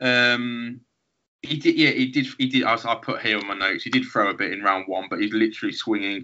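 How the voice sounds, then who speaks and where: The speaker, with a Birmingham accent, moves at a fairly quick pace with fairly even intonation. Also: man, medium pitch for a man. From Birmingham, England. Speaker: podcast host. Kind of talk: casual chat.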